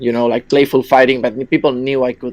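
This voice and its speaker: Flat, monotone delivery from a man, pitched in the middle range. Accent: Spanish. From Spain. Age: 20s. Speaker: caller. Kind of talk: personal story on call-in podcast.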